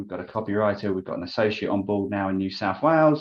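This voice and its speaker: Very fast speech with ordinary pitch variation, in an English accent. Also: man. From London, England. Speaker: business development coach. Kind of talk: interview.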